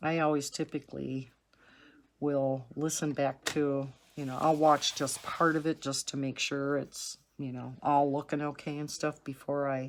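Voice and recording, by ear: A woman talks at an extremely low pitch with little pitch movement. Her pace is fairly slow.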